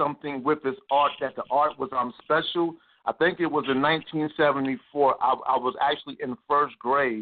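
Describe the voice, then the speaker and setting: Ordinary pitch variation at a moderate pace. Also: man. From New York City (Harlem, Queens). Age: 40s. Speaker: artist and media business owner. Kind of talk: interview. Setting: radio show. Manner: repetitive, halting starts.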